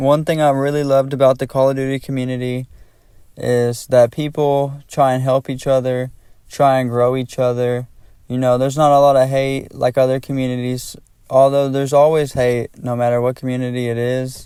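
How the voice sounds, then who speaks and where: In a very clean recording with a silent background, the voice has a dark, mellow tone and monotone, flat intonation. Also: man, medium pitch for a man, moderate pace. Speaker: gaming YouTuber. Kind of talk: casual commentary over gameplay.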